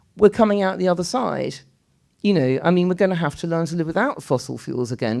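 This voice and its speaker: Speaking fairly quickly with a British accent, a woman has a fairly low pitch. Her voice moves in very wide pitch swings against a quiet background. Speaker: writer and architect speaking at a public debate. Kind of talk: public talk in a panel debate. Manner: fast.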